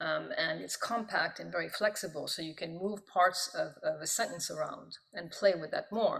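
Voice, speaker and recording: Speaking with a French accent at a moderate pace, a woman makes hardly any pauses, and her loudness swings widely. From born in Pakistan, diplomatic family. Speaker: professor of Italian and poet. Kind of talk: interview. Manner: halting, many fillers.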